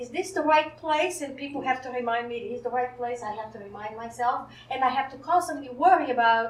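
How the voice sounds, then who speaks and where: Speaking with a non-native accent, a woman talks at a fairly quick pace in a high pitch, with ordinary pitch variation and big swings in loudness. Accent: foreign. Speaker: psychologist, wellness center director. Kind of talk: panel interview.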